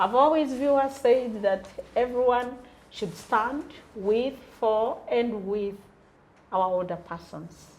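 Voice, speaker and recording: Very slow female speech at a fairly high pitch, with ordinary pitch variation and long, frequent pauses. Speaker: talk show host. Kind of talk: interview.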